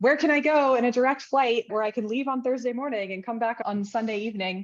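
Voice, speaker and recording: With an American accent, a woman talks at a fairly quick pace in a plain, everyday voice with ordinary pitch variation. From US. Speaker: freelance brand strategist. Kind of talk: interview.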